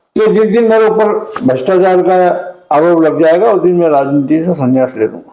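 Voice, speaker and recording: Lively intonation from a man, with audible room echo. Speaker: veteran local politician. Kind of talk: interview.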